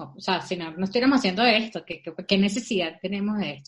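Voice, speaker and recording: The woman sounds somewhat breathy. Her intonation is lively. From Venezuela. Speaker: podcast co-host. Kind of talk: casual chat. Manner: animated.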